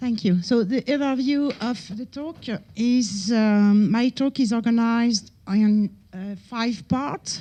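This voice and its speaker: A woman speaks in a fairly high voice with a dark, mellow tone. Her delivery is somewhat breathy. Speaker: researcher giving conference talk. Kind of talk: conference lecture. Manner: hesitant, many fillers.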